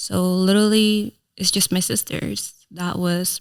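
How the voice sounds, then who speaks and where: This woman is heard on a very clean recording with a silent background. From Philippines, moved to US at 7-8. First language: Tagalog. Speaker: content creator and entrepreneur. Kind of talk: podcast interview, life story.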